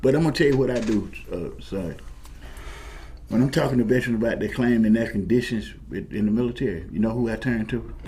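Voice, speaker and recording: A man speaks at a very fast pace in a medium pitch, with ordinary pitch variation and audible room echo. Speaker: military veteran, former paratrooper. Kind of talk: talk show discussion. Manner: halting, repetitive restarts; impassioned.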